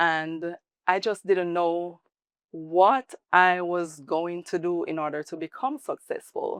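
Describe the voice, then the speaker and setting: A woman with a fairly low voice and a slight Jamaican accent speaks very slowly. The sound is dry and close, with no echo. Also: ordinary pitch variation. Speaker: salon owner, former athlete. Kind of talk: interview.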